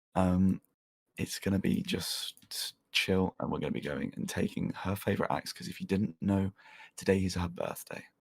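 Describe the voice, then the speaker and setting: A man's whisper at a moderate pace, dry and close with no echo. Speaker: gaming livestreamer. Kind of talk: casual livestream chat. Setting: livestream, no face cam. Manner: whispering; subdued, less energetic than usual.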